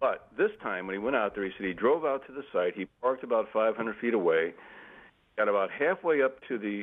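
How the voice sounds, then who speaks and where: A man with an ordinary speaking voice talks with an American accent at a medium pitch. He keeps a fairly quick pace and lively intonation. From Missouri. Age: 60s. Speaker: author. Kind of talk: interview. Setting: live stream video interview.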